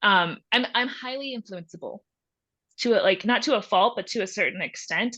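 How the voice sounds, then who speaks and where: A woman speaks with an American accent at a moderate pace, her tone bright and sharp. Her pitch varies in an ordinary way, and the background is quiet. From Texas. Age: 20s. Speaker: photojournalist. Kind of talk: podcast interview.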